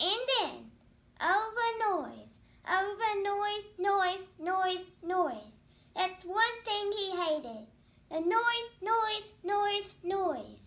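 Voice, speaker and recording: Squeaky and extremely high-pitched, a woman's put-on character voice moves at a very slow pace. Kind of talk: children's read-aloud story. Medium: read story. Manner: rhythmic, repetitive emphasis.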